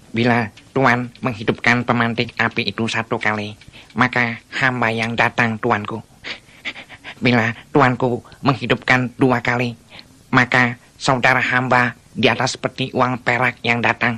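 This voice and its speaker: A put-on character voice at a low-to-middle pitch, with monotone, flat intonation. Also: fairly slow pace. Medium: audio drama. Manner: servile, formal.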